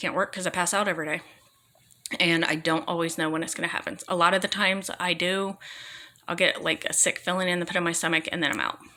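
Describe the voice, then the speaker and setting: Noticeable background noise sits behind a woman talking at a very fast pace. Her voice is fairly low in pitch, with fairly even intonation. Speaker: vlogger talking about own illness. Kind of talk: personal testimony. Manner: halting, repeating words.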